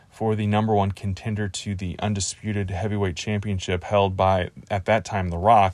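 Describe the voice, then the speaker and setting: In an ordinary speaking voice with an American accent, a man speaks at fairly low pitch with fairly even intonation. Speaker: podcast host. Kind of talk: casual solo podcast monologue about pro wrestling. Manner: conversational, rambling, laid-back.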